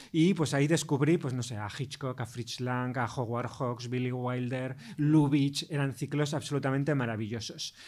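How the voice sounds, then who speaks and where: A man has a plain, everyday voice at medium pitch, moving at a moderate pace with hardly any pauses. His intonation is fairly even, and the recording is very clean with a silent background. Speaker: film critic and professor. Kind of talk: interview.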